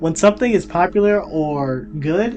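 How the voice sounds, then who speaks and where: A man talks with lively intonation over music in the background. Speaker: gaming YouTuber. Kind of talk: unscripted solo commentary. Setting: alone in his room. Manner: stutters a lot; rambling, casual.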